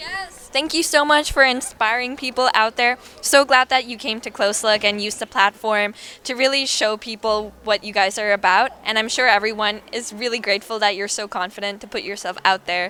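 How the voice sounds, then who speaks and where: The speech moves at a fairly quick pace with hardly any pauses and ordinary pitch variation, over noticeable background noise. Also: woman, fairly high pitch for a woman. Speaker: event interviewer. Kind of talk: casual interview. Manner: stuttering at times.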